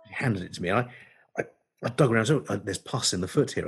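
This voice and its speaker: A man's somewhat breathy voice at a very fast pace, with ordinary pitch variation. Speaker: veterinarian and podcast co-host. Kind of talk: casual chat. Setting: video call.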